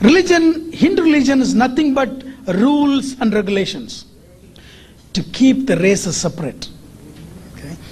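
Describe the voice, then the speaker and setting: With a Tamil accent, the speaker leaves long, frequent pauses over noticeable background noise. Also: moderate pace. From India, Tamil Nadu. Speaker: engineer and activist lecturer. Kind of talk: lecture. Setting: stage with audience.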